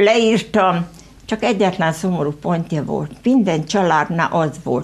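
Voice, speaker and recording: A woman's fairly low voice with ordinary pitch variation. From Hungary, rural Veszprém county village; Hungary. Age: 70s. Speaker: local author; guest. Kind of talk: studio interview. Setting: TV studio. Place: studio.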